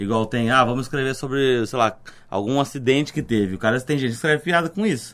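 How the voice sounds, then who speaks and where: Speaking at a very fast pace, a man of medium pitch shows ordinary pitch variation in a very clean recording with a silent background. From interior of São Paulo state, Brazil. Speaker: comedian. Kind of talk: casual chat.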